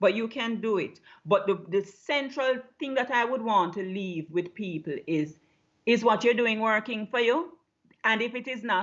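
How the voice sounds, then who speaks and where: A woman speaks with a Jamaican accent at a fairly high pitch. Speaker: low-carb health coach. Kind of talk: interview.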